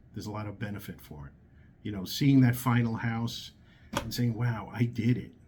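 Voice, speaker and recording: A man with a New York accent speaks at a medium pitch, somewhat breathy, with ordinary pitch variation. His tone is dark and mellow. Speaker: hard money lender. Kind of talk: casual talk to camera. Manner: hesitant, many fillers.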